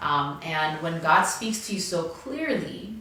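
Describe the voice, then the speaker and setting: Noticeable background noise and audible room echo surround a woman with a non-native accent who speaks at a fairly low pitch. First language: not English. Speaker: pastor. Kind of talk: devotional message. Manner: halting.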